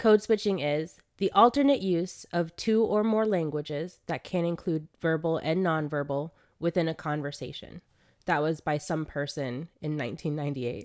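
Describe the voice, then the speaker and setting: A woman with an American accent and a fairly low pitch speaks at a moderate pace with lively intonation, in a very clean recording with a silent background. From Florida, US South (Ocala). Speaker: podcast co-host. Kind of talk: casual chat. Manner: animated.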